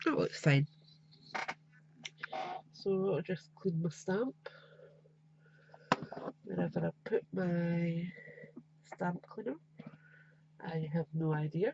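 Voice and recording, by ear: A woman's nasal, dark, mellow voice with a slightly husky edge and vocal fry, slow pace, long, frequent pauses. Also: fairly low pitch for a woman, ordinary pitch variation, dry, close sound with no echo.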